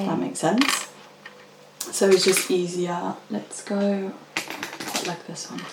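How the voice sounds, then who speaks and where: A soft-spoken voice talks at a very slow pace over noticeable background noise. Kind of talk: casual instructional talk during a craft session.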